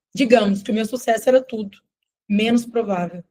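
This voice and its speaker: A woman's somewhat breathy, dark, mellow voice, fairly high in pitch, with fairly even intonation and a Minas Gerais accent. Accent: Minas Gerais (mineiro). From Brazil, Minas Gerais family (born elsewhere). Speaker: nutritionist and business mentor. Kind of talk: live sales webinar.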